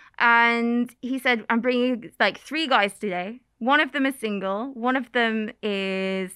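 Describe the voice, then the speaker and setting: In an East Midlands accent, a woman speaks at a fairly slow pace with a fairly high pitch, ordinary pitch variation and hardly any pauses. The recording is very clean, with a silent background. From England, Oakham (Rutland). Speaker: YouTuber and former English teacher. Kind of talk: casual chat. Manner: animated.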